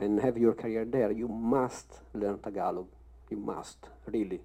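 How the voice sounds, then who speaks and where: A man at medium pitch with a strong Italian accent, speaking at a moderate pace. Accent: thick Italian. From Italy. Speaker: actor. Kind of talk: panel discussion.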